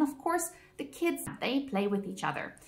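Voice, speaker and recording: Over noticeable background noise, a woman with a non-native accent speaks at a moderate pace with very wide pitch swings. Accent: noticeable foreign accent in English. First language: Afrikaans. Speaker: vlogger. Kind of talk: personal vlog monologue.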